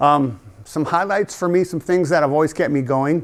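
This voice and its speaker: In an American accent, the voice shows ordinary pitch variation. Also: man. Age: 60s. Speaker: basketball referee instructor. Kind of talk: training talk to officials. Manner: animated.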